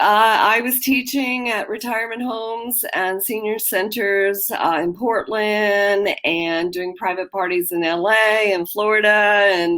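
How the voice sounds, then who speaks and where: A woman with an American accent and an unremarkable speaking voice talks at a fairly slow pace, her medium pitch showing ordinary variation on a very clean recording with a silent background. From Washington DC. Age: 60s. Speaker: business owner. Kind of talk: casual chat.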